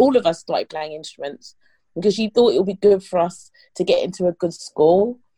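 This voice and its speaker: With a London accent, the speaker talks at a fairly quick pace in a dark, mellow tone with ordinary pitch variation, recorded dry and close with no echo. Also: woman. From England, East London. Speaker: rapper. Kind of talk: interview.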